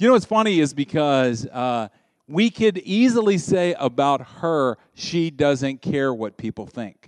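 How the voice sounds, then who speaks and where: A man with a fairly high pitch, an animated tone and very wide pitch swings, in a dry, close sound with no echo and a quiet background. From US South. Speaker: pastor. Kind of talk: sermon. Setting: church.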